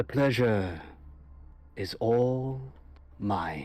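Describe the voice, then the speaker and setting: Putting on a character voice, a man speaks at a fairly low pitch with very wide pitch swings. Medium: actual play. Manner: formal, gracious.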